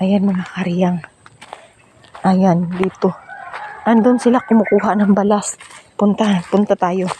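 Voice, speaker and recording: The speech moves at a fairly slow pace, broken by long, frequent pauses. Noticeable background noise sits beneath it. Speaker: vlogger. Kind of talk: casual vlog walkthrough.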